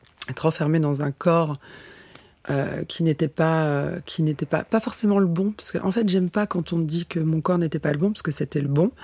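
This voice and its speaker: Her voice fairly low in pitch with a dark, mellow tone, a woman speaks at a moderate pace with ordinary pitch variation. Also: dry, close sound with no echo. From France, Nancy. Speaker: model and actress. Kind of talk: interview. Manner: halting.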